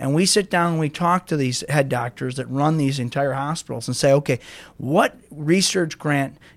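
With an American accent and an ordinary speaking voice, a man talks at a moderate pace in a fairly high pitch with ordinary pitch variation, on a very clean recording with a silent background. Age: 40s. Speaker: car dealership owner. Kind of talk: casual interview.

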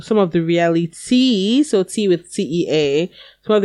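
The voice reads in an unforced way.

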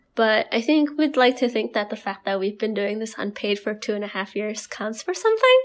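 In an Indonesian accent, a woman speaks at a fairly quick pace with hardly any pauses. Her pitch is fairly high, with ordinary variation. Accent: Indonesian, international-school English. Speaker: podcast co-host. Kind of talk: casual chat.

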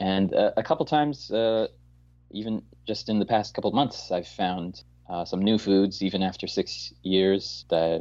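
Against a quiet background, an unremarkable speaking voice moves at a fairly slow pace with lively intonation. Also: man. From Newfoundland, Canada. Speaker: English teacher abroad. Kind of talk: interview. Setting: phone call.

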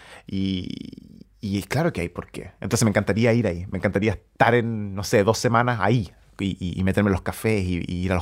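A man speaks at a very deep, low pitch in a very clean recording with a silent background. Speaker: musician and pianist. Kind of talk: interview.

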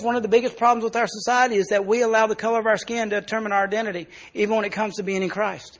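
A man with a Southern US accent talks at a very fast pace. His pitch is high. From US South, South Arkansas. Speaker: pastor. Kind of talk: sermon. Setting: church.

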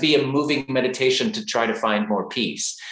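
A man's fairly high pitch with an American accent at a moderate pace over noticeable background noise. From Texas. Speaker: yoga teacher and author. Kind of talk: interview.

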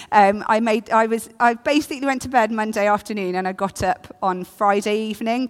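On a very clean recording with a silent background, a woman speaks at a medium pitch with an English accent and lively intonation. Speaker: preacher. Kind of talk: sermon.

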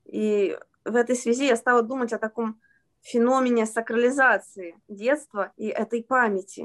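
Recorded with a dry, close sound and no echo, a woman with a normal speaking voice talks at a moderate pace, at a fairly high pitch, with fairly even intonation. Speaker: children's author and translator. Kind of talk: interview.

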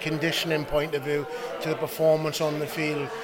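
A fairly high-pitched man at a fairly quick pace, over noticeable background noise. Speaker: rugby coach. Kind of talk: interview.

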